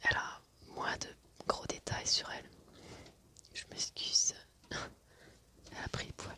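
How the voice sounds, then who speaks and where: Someone is whispering, and it's a woman. Noticeable background noise accompanies her. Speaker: ASMR creator. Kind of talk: ASMR show and tell, casual talk to camera.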